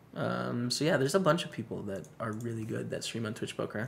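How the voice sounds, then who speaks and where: A man talks at a moderate pace. Behind him, there's noticeable background noise. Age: 20s. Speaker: poker streamer. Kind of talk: live stream commentary with chat. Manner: casual, conversational.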